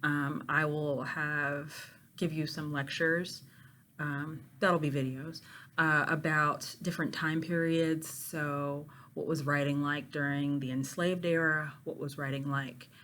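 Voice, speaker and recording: With audible room echo, a woman speaks fairly slowly at a very deep, low pitch in a monotone, flat intonation. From Pittsburgh, Pennsylvania, US. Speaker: university literature professor. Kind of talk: course introduction to students. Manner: casual with many filler ums.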